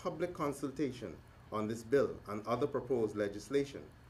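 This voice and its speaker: A man talks at a fairly quick pace with a medium pitch. His voice is somewhat breathy, with lively intonation. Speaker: government minister and lawyer. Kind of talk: formal speech. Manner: fast.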